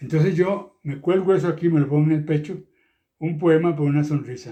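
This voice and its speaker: The speaker is a man with a dark, mellow tone. He talks at a moderate pace. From Costa Rica, Turrialba. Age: 80s+. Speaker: poet. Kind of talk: interview. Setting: at home.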